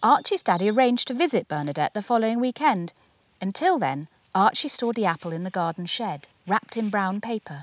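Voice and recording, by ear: At a fairly quick pace, the voice makes big pitch swings in a dry, close sound with no echo. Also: woman, medium pitch for a woman.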